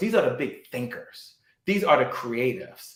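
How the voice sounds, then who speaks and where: Recorded with audible room echo, a man talks in an animated tone. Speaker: sales trainer and entrepreneur. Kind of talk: interview, motivational talk.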